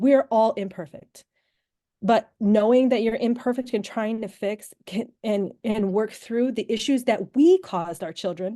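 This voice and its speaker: A woman speaks at a moderate pace with a fairly high pitch. Her tone is dark and mellow. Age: 40s. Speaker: trauma survivor and author. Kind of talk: interview testimony. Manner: emphatic, with repeated words.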